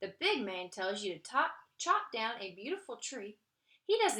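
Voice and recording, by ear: In a natural voice, someone reads aloud while the background stays quiet.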